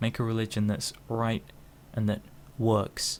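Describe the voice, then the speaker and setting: With a British accent, a man talks at a fairly low pitch. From United Kingdom. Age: 20s. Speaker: vlogger. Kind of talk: opinion monologue. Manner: slow; halting.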